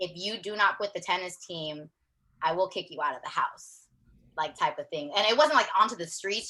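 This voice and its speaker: At a moderate pace, a woman talks with a bright, sharp and bubbly tone. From US West Coast, Long Beach, California. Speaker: wellness coach. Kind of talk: personal story interview. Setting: video call. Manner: loud and bubbly; animated.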